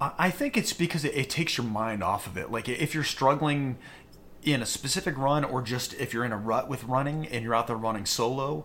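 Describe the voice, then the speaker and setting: In an unremarkable speaking voice with an American accent, someone talks at a fairly quick pace with ordinary pitch variation. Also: man, medium pitch for a man. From US, Western Maryland small town. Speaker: amateur marathon runner. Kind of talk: casual interview chat.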